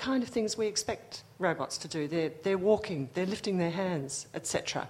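Pitch swings very widely in this somewhat breathy voice. The pace is moderate. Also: woman. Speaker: audience member. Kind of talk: audience question.

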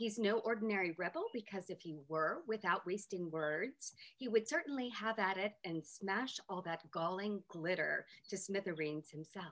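At a moderate pace, a woman speaks in an unremarkable speaking voice, pitched medium, with ordinary pitch variation. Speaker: literature professor. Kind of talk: academic talk. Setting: video call.

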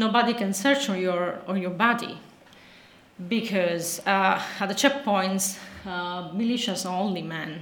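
With an Italian accent, a woman speaks at a fairly slow pace amid audible room echo and noticeable background noise. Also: medium pitch for a woman, ordinary pitch variation. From Sicily, Italy. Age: 40s. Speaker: journalist. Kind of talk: lecture. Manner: halting.

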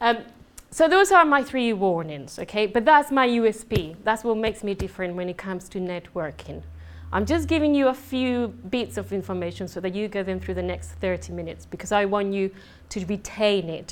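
A woman with a Spanish accent, medium in pitch and animated in tone, with lively intonation at a moderate pace. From southern Spain. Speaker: conference speaker on business networking. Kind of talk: presentation to a live audience. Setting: stage with audience.

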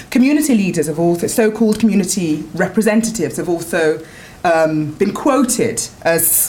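A woman at medium pitch with a London accent, lively intonation and a moderate pace, over noticeable background noise. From North London. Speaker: academic researcher. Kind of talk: talk at a seminar. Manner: halting, many fillers.

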